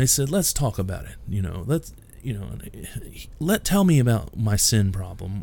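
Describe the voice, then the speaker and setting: A man speaks at a moderate pace, somewhat breathy, with very wide pitch swings. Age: 40s. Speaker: pastor and podcast host. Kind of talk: solo podcast monologue, preaching.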